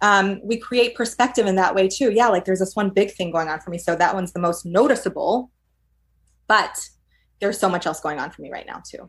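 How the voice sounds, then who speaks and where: With an American accent and an ordinary speaking voice, a woman speaks at a medium pitch and fairly quick pace, her pitch variation ordinary and her loudness swinging widely, in a very clean recording with a silent background. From New York. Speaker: clinical psychologist. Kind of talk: casual interview.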